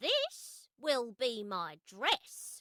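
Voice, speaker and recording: A woman's put-on character voice, pitched fairly high. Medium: read story. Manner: playful, lively.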